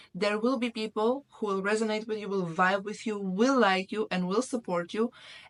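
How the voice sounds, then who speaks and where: With a non-native accent, a woman speaks at a fairly high pitch in a dry, close sound with no echo. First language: not English. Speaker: YouTuber, self-development. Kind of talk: motivational talk to camera. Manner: halting, with some stumbles.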